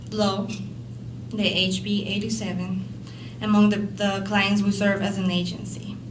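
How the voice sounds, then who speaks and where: Through audible room echo and noticeable background noise, a woman speaks at a fairly slow pace with long, frequent pauses. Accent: strong Latin American. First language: Spanish. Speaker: social worker. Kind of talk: conference panel talk. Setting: conference stage with audience. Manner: halting, with many fillers and repetitions.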